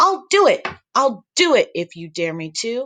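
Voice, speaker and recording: A put-on character voice with a high pitch moves at a moderate pace. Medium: read story.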